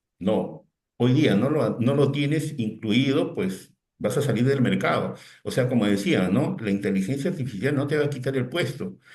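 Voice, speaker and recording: A man speaks fairly slowly in a somewhat breathy voice with lively intonation. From Peru. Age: 60s. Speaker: technology consultant and lecturer. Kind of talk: webinar talk. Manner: halting, repeats words.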